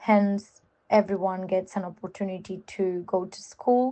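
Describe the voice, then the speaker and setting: This woman speaks with a Spanish accent at a fairly slow pace. Her medium-pitched voice is monotone and flat. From Spain. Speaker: contributor. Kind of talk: informal talk.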